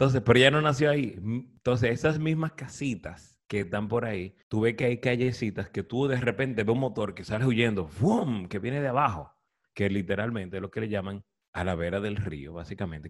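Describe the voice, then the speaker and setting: A man with a plain, everyday voice talks with lively intonation at a medium pitch, keeping a moderate pace. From Dominican Republic, Cibao (Santiago). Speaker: podcast host. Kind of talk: casual chat.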